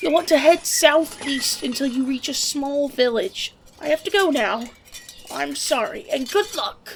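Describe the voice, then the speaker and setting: A female-sounding voice puts on a character voice at a high pitch. The pace is moderate. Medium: machinima. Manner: evasive.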